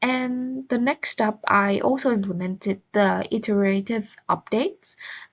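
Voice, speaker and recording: The speaker has a non-native accent, a fairly slow pace and very even loudness. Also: woman, fairly high pitch for a woman, ordinary pitch variation. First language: not English. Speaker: student. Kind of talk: class presentation. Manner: halting, with fillers.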